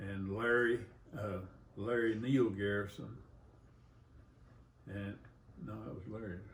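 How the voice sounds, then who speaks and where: With an Arkansas accent, a man speaks fairly slowly at a fairly low pitch, his intonation fairly even and broken by long, frequent pauses, amid audible room echo. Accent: Southern US (Arkansas). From US South, rural Arkansas. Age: 80s+. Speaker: grandfather. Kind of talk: family interview. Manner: halting, hesitant.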